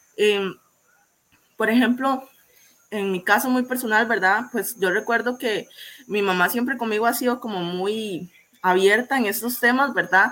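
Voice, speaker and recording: A woman's bright, sharp tone at a fairly slow pace, with ordinary pitch variation and long, frequent pauses. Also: fairly high pitch for a woman. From Costa Rica, Limón province. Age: 20s. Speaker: student. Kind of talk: panel discussion.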